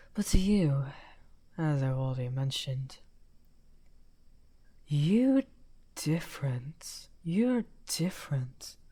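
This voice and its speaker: A put-on character voice at a low-to-middle pitch moves at a very slow pace with long, frequent pauses. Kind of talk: audio roleplay. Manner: soft-spoken.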